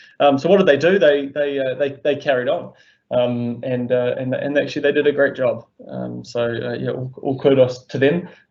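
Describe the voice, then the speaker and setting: In a New Zealand accent, a man with a fairly high pitch speaks at a moderate pace with fairly even intonation. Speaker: volunteer organisation founder. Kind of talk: webinar interview. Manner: halting.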